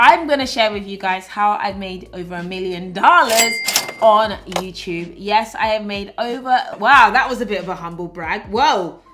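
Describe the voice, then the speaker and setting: A woman's fairly high voice in a British accent, lively in intonation, at a moderate pace with music in the background. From Britain. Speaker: YouTuber and influencer. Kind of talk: vlog monologue.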